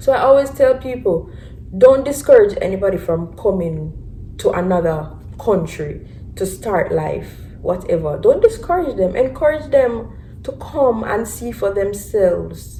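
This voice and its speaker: A woman with a Jamaican accent speaks at a fairly slow pace. Room echo is audible, and there is noticeable background noise. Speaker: vlogger. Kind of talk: casual chat. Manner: animated.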